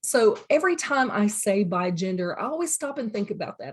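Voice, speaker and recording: A woman speaks with a somewhat breathy voice at a medium pitch. The recording is very clean, with a silent background. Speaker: college teacher. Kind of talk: recorded lecture. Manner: casual, filler words.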